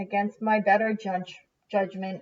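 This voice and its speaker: Putting on a rumbling character voice, a woman speaks at a moderate pace with a medium pitch and flat, monotone intonation. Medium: read story. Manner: grumbling.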